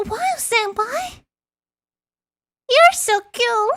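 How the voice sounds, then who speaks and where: The voice is an extremely high-pitched one. It is a put-on character voice. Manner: enthusiastic, admiring.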